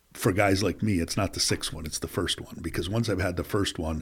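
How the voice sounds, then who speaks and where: On a very clean recording with a silent background, a man with an American accent speaks in a somewhat breathy voice with fairly even intonation. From US Northeast, upstate New York (Plattsburgh). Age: 50s. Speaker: business executive and recovery advocate. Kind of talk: casual interview.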